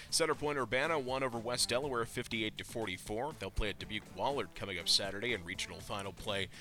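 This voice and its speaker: A man at a medium pitch with ordinary pitch variation, talking at a very fast pace over music in the background. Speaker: sports news reader. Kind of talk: news reading.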